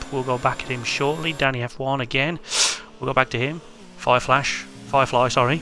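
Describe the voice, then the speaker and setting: A man with a British accent, medium pitch and flat, monotone intonation, at a fairly quick pace broken by long, frequent pauses, over noticeable background noise. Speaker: sim racing league commentator. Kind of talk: live commentary.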